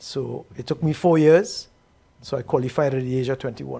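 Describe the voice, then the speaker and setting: Somewhat breathy, a man speaks at a moderate pace in a dark, mellow tone. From Trinidad and Tobago. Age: 70s. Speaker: retired bank executive. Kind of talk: interview.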